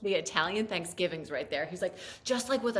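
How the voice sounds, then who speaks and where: An animated woman's voice at medium pitch, with an American accent. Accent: latent Staten Island. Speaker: podcast co-host. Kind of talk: casual chat.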